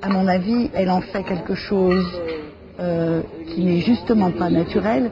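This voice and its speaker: A woman talks fairly slowly at a medium pitch with fairly even intonation and long, frequent pauses, over noticeable background noise. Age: 60s. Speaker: dinner conversation participant. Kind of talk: casual chat. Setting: dinner table.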